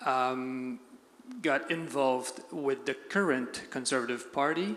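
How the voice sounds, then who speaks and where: A man speaks at a very slow pace and a fairly high pitch, with ordinary pitch variation. Noticeable background noise runs underneath. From Quebec. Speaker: audience member. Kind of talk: audience question. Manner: halting. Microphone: too far from the mic.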